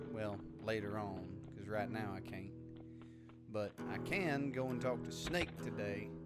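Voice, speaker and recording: Over music in the background, a man with a Southern US accent speaks very slowly in a fairly low voice with lively intonation. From Texas. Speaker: gamer. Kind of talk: let's play commentary. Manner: casual.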